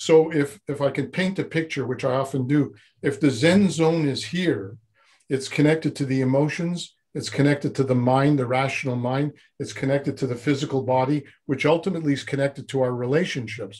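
Against a quiet background, a man with a fairly high, somewhat breathy voice talks at a fairly quick pace with ordinary pitch variation. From Montreal, Quebec. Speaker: former Zen monk, personal development coach; personal development coach. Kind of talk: interview conversation. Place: studio. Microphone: video call.

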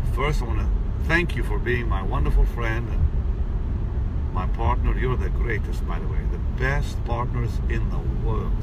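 Against loud background noise, a man speaks at a fairly slow pace with long, frequent pauses, the sound dry with no echo. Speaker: preacher. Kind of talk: casual address to followers with prayer. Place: car. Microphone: phone near.

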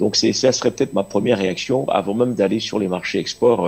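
A man speaks with vocal fry and a slightly husky edge. His tone is slightly mellow and his intonation fairly even.

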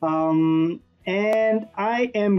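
Fairly even intonation comes through over faint background music. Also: man. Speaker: online earnings reviewer. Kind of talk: tutorial. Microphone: webcam.

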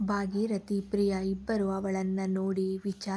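Reading aloud, plain.

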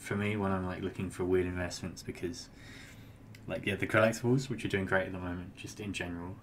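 A man talks at a very fast pace with a British accent. His pitch is very deep and low. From UK. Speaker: crypto trader. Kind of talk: casual interview chat.

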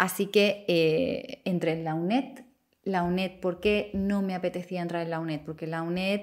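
On a very clean recording with a silent background, a woman speaks at medium pitch and a fairly slow pace, with ordinary pitch variation. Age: 30s. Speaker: YouTuber and psychology student. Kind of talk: casual vlog monologue.

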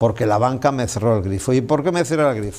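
A man's medium-pitched voice at a fairly quick pace. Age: 70s. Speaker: businessman; interview guest. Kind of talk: interview. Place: studio.

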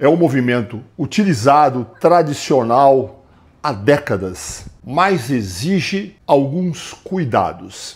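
Here is a somewhat breathy male voice. His pitch swings very widely. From Brazil. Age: 60s. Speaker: fitness coach. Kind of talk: tutorial. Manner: casual, conversational. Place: gym. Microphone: lapel.

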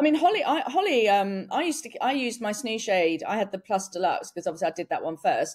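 A woman with an English accent talks at a very fast pace with hardly any pauses. Her fairly high pitch swings very widely against a quiet background. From England. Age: 40s. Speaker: entrepreneur and inventor; podcast guest. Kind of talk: casual chat. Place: home room.

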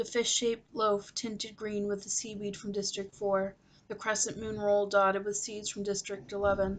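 Natural-voiced reading aloud

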